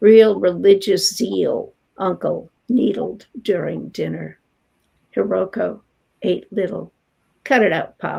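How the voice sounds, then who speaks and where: A woman with an American accent at a very slow pace, with long, frequent pauses. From New York, Long Island. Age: 70s. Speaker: poet. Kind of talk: poetry reading; interview.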